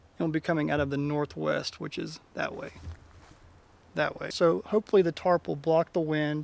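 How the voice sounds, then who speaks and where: A man with a plain, everyday voice talks moderately fast in a fairly high register, his pitch varying in an ordinary way. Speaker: outdoor vlogger. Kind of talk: casual vlog narration. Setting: outdoors, winter campsite.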